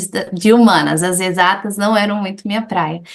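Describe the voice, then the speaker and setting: This woman's medium-pitched voice moves at a fairly slow pace. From Brazil, Goiás (Anápolis), with childhood years in the US. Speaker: English teacher. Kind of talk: interview, personal life story.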